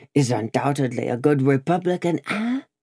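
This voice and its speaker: A croaky put-on character voice sits at a low-to-middle pitch and moves at a moderate pace. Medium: read story. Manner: relishing, gloating, low.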